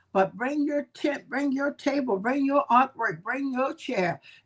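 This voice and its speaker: In an American accent, a woman talks with a somewhat breathy voice. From New Orleans, Louisiana. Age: 70s. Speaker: evangelist and book reading show host. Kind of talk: casual announcements. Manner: warm, animated.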